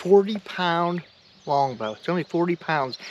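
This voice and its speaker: Excited in tone, a man speaks at a moderate pace with fairly high pitch and ordinary pitch variation. There is noticeable background noise. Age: 60s. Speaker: bowhunter. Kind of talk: casual chat. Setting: outdoors.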